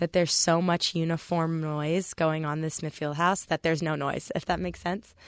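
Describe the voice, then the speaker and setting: A woman's normal speaking voice at a fairly low pitch and moderate pace, against a quiet background. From US West, Palm Springs, California. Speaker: college volleyball player. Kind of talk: radio interview. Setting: radio studio.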